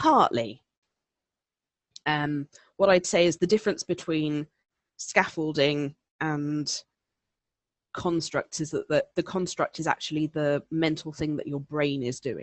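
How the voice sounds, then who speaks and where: A woman with a southeast English accent speaks in a very deep, low voice with ordinary pitch variation. Her pace is fairly slow, with long, frequent pauses. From southeast England. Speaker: elearning presenter. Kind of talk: webinar presentation answering questions. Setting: online webinar. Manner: conversational with many fillers.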